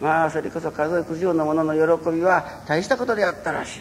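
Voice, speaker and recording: A man's high-pitched voice at a moderate pace. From Japan, Fukuoka (Kurume). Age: 60s. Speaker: religious minister. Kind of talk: public lecture.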